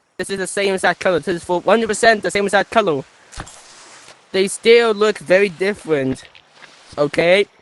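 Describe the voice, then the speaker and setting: The speaker moves at a fairly quick pace yet leaves long, frequent pauses, over noticeable background noise. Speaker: gaming video creator. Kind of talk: casual gameplay commentary.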